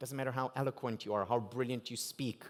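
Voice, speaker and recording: A man with an Israeli accent. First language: Hebrew. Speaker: keynote speaker. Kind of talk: keynote speech.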